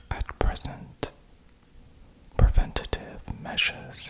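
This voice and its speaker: Against noticeable background noise, a man is whispering. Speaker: ASMR news host. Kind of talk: ASMR educational narration. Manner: whispered, soft-spoken.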